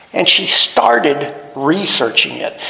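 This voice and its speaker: Background noise is noticeable throughout. Over it, a man talks fairly slowly. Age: 70s. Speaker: pastor. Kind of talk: sermon. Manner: halting.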